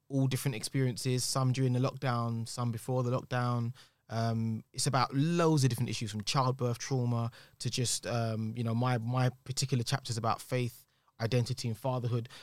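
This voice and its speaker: This man speaks with a London accent at a fairly quick pace, his medium-pitched voice monotone and flat. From East London. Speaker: singer-songwriter and actor. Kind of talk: casual chat. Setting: studio.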